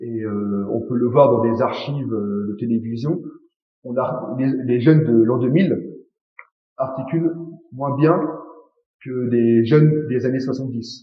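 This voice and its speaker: A man's medium-pitched voice with a Parisian accent, ordinary pitch variation, a very slow pace, long and frequent pauses, and audible room echo. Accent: own idiosyncratic Parisian articulation. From France, Paris. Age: young. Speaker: interviewee, native French speaker. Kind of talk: interview.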